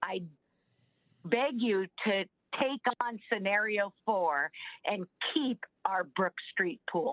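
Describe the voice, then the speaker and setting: A woman in an American accent at a medium pitch, with lively intonation and very even loudness, at a very slow pace broken by long, frequent pauses. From US West Coast, Southern California. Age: 60s. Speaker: public commenter at city council meeting. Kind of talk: public comment.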